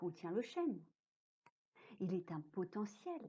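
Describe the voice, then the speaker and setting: A woman speaks at a very slow pace in a dark, mellow tone that is somewhat breathy. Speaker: storyteller. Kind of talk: read story. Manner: whispered, soft.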